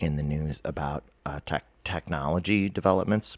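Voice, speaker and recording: Music plays behind a man talking at a moderate pace with ordinary pitch variation, the sound dry and close with no echo. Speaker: author and vlogger on dreams. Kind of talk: casual monologue.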